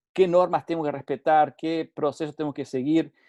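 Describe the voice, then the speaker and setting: A man's dark, mellow tone comes over a quiet background. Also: dry, close sound with no echo. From Uruguay. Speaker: safety consultant. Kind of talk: webinar lecture. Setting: online webinar. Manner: halting, with frequent repetitions and fillers.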